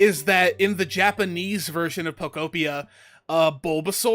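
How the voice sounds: Here we hear a natural reading voice.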